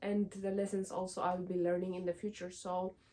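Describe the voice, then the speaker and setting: A woman speaks with an Ethiopian accent at medium pitch. Her tone is dark and mellow, and her intonation is fairly even. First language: Amharic. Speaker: lifestyle vlogger. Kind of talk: casual vlog talk to camera. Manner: hesitant, many fillers.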